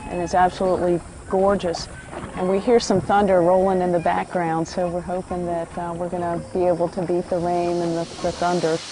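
A woman's fairly low voice at a fairly quick pace, monotone and flat, dry with no echo, over noticeable background noise. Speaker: documentary host. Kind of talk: travel show presenting to camera.

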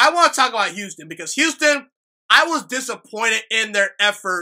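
A man's raised, projected voice, bright and sharp in tone, animated, with lively intonation at a moderate pace against a quiet background. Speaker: sports podcaster. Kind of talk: solo sports commentary monologue. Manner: casual, animated. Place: home room. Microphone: studio mic.

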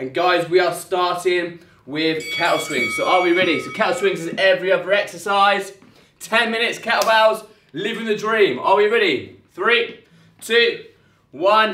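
A man's raised, projected voice at a moderate pace, ordinary pitch variation, audible room echo and music in the background. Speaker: fitness trainer. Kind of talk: workout tutorial. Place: gym. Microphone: camera far.

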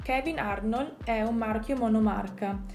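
A fairly slow, fairly even voice with faint music in the background. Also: woman. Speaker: wine blogger. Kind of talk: tutorial. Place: home room. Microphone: phone near.

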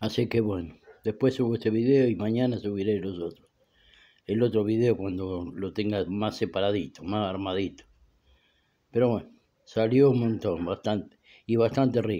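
A man's fairly low voice with a dark, mellow tone, ordinary pitch variation, a moderate pace and long, frequent pauses. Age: 70s. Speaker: home cook vlogger. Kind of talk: casual cooking vlog. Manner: halting, repetitive. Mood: relaxed, pleased with result. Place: kitchen. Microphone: phone near.

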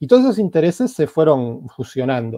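Recorded dry with no echo and a quiet background, a man with a dark, mellow tone talks at a fairly quick pace. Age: 40s. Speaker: novelist and translator; interviewee. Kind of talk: interview. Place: home room. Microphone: earbuds.

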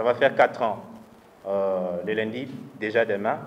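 Ordinary pitch variation at a very slow pace. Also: man. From DR Congo. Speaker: party youth leader. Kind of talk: speech. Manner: halting. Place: hall. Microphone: handheld.

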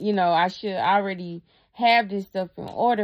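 A woman is speaking at a moderate pace. Her pitch variation is ordinary. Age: 30s. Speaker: YouTuber. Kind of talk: casual vlog monologue. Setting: at her dad's house. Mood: earnest, reflective. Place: home room. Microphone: phone near.

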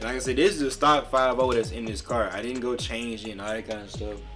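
Clear music sounds in the background. Over it, a man talks. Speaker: gaming streamer. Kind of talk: casual gaming commentary.

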